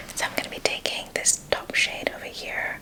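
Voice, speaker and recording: Whispering at a fairly quick pace, a woman is heard over noticeable background noise. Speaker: beauty and sustainability content creator. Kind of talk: ASMR makeup talk-through tutorial. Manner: whispered, soft-spoken.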